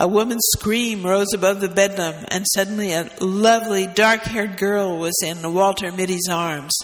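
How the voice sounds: The speaker reads in a natural reading voice.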